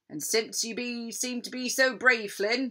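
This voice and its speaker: Using a put-on character voice, a woman speaks at a fairly high pitch. Her pace is fairly slow. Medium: read story. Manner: blustering pirate talk.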